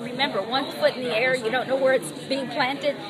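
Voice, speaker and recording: A woman's voice with crowd noise in the background and audible room echo. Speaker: psychic reader. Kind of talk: psychic reading.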